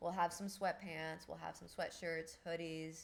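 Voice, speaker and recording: Fairly slowly, a woman talks in an ordinary speaking voice. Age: 30s. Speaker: livestreamer and podcaster. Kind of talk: casual live stream chat reading viewer comments. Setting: live stream.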